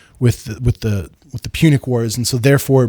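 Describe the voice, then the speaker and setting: Recorded very cleanly against a silent background with a dry, close sound and no echo, a man speaks fairly quickly at medium pitch, his dark, mellow tone somewhat breathy and his intonation fairly even. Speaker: history YouTuber. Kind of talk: lecture. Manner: casual, many fillers; stutters a little on military history.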